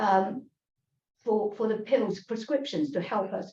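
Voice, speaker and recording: A woman talks with a Chinese accent. Her intonation is lively. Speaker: tai chi teacher. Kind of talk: lecture. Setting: online class. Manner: halting.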